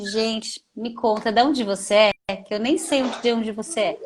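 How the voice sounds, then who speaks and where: A woman talks at a fairly quick pace. Hers is a normal speaking voice. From São Paulo, Brazil. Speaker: podcast host, mother. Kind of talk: casual chat.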